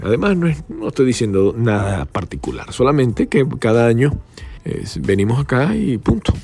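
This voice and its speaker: With noticeable background noise, a man speaks at a moderate pace in a fairly low voice that has very wide pitch swings. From Venezuela (Valencia). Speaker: podcast host, journalist. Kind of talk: casual chat. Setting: outdoors by a pool, on location.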